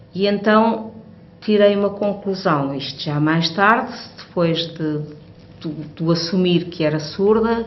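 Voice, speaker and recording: With audible room echo and noticeable background noise, a woman speaks at a fairly low pitch. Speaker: hearing aid user. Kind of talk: testimony. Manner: halting.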